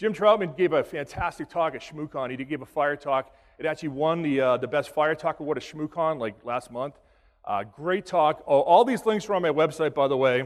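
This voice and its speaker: With an American accent, a man talks at a fairly quick pace, his fairly high pitch showing ordinary variation. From Boston, US Northeast. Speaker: cybersecurity instructor. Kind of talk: conference talk. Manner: fast.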